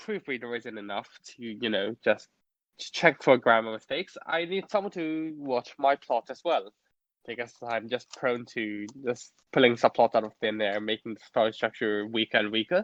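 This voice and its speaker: A medium-pitched man's voice in a Cantonese accent, at a moderate pace with lively intonation and big swings in loudness. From Hong Kong. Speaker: fanfiction author. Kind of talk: interview. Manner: halting.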